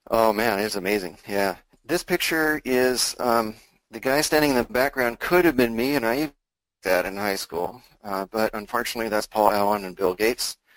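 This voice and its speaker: Recorded with a dry, close sound and no echo, a man talks at a moderate pace and medium pitch with ordinary pitch variation. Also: very clean recording, silent background. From US Pacific Northwest, Seattle. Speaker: retired software engineer turned options trader. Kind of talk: interview with slide presentation. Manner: hesitant, many fillers.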